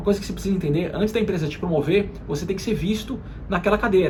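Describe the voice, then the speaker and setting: A man rattles along extremely fast, with normal pitch movement, as clear background noise and room echo surround him. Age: 30s. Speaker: marketing executive and career YouTuber. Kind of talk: motivational career talk to camera. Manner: frequent hesitation fillers.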